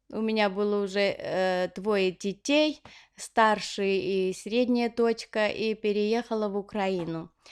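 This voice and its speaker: A woman with an Armenian accent at a medium pitch, very slow pace and fairly even intonation, in a very clean recording with a silent background. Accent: Armenian accent in Russian. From Armenia (Leninakan/Gyumri). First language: Armenian (speaking Russian). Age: 40s. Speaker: knitting vlogger. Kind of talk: casual Q&A vlog. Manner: hesitant, many fillers.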